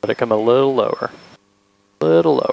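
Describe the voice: A man with a medium pitch, ordinary pitch variation and vocal fry speaks at a fairly quick pace in a dry, close sound with no echo.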